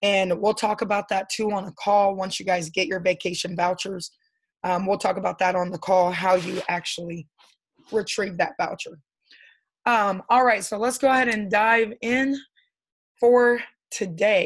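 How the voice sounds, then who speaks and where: A woman puts on a raspy character voice at a medium pitch. She speaks at a moderate pace against a quiet background. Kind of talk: business presentation to a group. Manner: upbeat.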